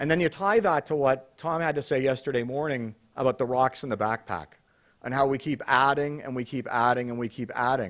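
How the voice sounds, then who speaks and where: Over a quiet background, a man talks at a fairly quick pace. His pitch varies in an ordinary way. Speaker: conference host. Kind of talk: opening remarks to conference audience. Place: hall. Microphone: podium.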